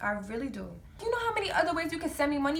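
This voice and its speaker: A woman speaks in an animated tone with an American accent. Room echo is audible around her voice. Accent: New York accent, noted by viewers. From New York. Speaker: vlogger. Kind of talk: storytime vlog.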